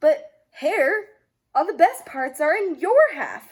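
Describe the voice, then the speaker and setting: A woman puts on a character voice pitched extremely high and speaks at a fairly slow pace. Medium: read story. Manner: slow, sleepy, grumbling.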